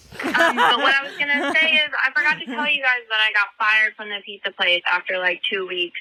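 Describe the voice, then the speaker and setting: Lively in intonation, the speech runs at a fairly quick pace with hardly any pauses, over noticeable background noise. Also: woman, fairly high pitch for a woman. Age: 30s. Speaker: voicemail caller. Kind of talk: voicemail message. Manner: casual, chatty.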